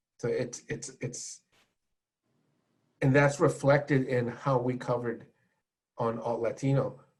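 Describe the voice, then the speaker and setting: A man with a Californian accent speaks at a medium pitch in a somewhat breathy voice. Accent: Californian American English. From California, US. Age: 60s. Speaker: music journalist and radio host. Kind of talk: panel discussion. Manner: halting with many repetitions.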